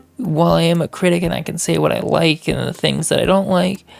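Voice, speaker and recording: Quiet speech moves at a fairly quick pace with music in the background. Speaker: music reaction reviewer. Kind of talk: album review monologue. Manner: casual with fillers.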